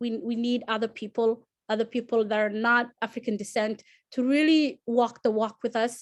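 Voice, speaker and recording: A woman with a Somali accent speaks at a fairly high pitch and a fairly quick pace. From Somalia. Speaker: alumni panelist. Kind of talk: panel discussion. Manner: halting.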